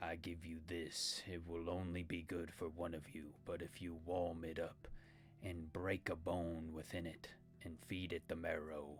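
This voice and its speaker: Using a put-on character voice, a man speaks at a fairly slow pace with a very deep, low pitch over clear background noise. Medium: actual play. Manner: formal, grave, terse.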